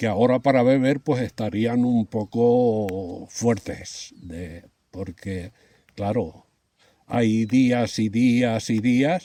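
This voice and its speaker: Moving along at a very slow pace, this dark, mellow tone shows ordinary pitch variation. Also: man. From Spain, Campo Arcís (Valencia region). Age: 70s. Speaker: retired winegrower. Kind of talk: interview, oral history. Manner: halting, with fillers and repetitions.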